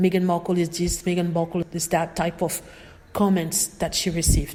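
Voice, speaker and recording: A woman with a non-native accent speaks at a moderate pace over noticeable background noise. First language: not English. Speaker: video blogger. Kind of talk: casual commentary vlog.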